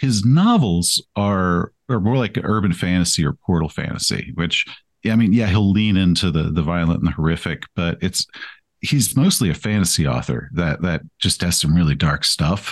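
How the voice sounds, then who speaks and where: Very even in loudness, a man with a very deep, low pitch and an American accent speaks at a moderate pace with lively intonation. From East Texas. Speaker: author and game master. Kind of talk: casual interview.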